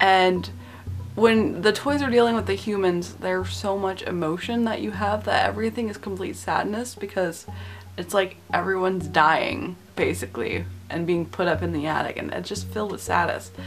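A woman speaks at a moderate pace while faint music plays in the background. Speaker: film reviewer. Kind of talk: casual vlog commentary. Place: home room. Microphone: webcam.

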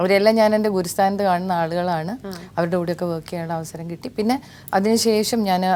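Fairly even intonation from a woman with a dark, mellow tone. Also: medium pitch for a woman. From Kerala, Kozhikode. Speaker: TV serial actress and former news reader. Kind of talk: casual interview. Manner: clear, careful pronunciation.

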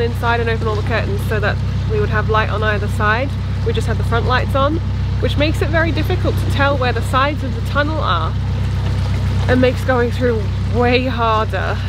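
A woman talks at a fairly quick pace with ordinary pitch variation. The sound is dry with no echo, over loud background noise. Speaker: boating vlogger. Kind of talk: casual vlog chat. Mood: rueful, amused. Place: boat. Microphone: phone near.

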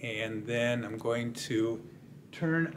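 Pitch varies in an ordinary way as a man talks. There is light background noise. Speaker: tech product reviewer. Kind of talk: tutorial. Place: home room.

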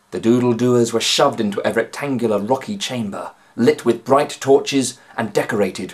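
The speaker reads in an unforced reading voice.

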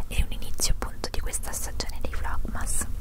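A soft-spoken woman whispers over loud background noise. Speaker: vlogger. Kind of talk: casual vlog chat. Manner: soft close-mic whisper. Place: home room. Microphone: handheld.

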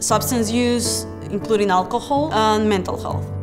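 A woman talks at a moderate pace with clear music playing behind her. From Peru (Lima). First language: Spanish. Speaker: public health graduate student. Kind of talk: interview answer. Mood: warm, grateful. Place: office. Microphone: lapel.

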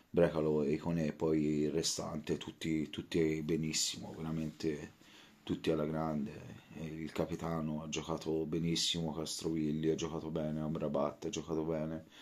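Quiet and at a moderate pace, a man speaks in a very deep, low pitch with monotone, flat intonation. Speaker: football fan vlogger. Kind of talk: post-match fan reaction; casual post-match reaction chat. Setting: at home late at night. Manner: speaking quietly; halting, repetitive. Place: home room. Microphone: phone near.

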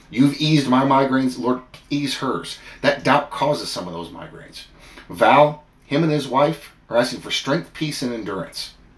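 Audible room echo surrounds a man speaking at a moderate pace with ordinary pitch variation. His loudness swings widely. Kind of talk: fervent prayer addressed to God. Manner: earnest, pleading, heartfelt; animated, storytelling with comic asides. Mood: earnest, fervent. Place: home room. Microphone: phone near.

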